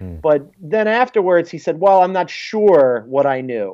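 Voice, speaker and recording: This is a man speaking. He has a Philadelphia accent. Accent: American, Philadelphia. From Philadelphia, US. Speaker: sports journalist. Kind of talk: radio interview. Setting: phone call.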